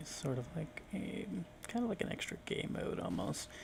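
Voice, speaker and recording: A soft-spoken man talks. Noticeable background noise runs under his voice. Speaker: ASMR gaming content creator. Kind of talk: soft-spoken ASMR gameplay commentary.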